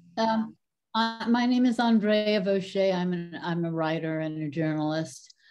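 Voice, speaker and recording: Music plays in the background. A woman speaks at a medium pitch and a fairly slow pace with ordinary pitch variation. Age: 70s. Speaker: audience member, writer and journalist. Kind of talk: audience question. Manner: halting.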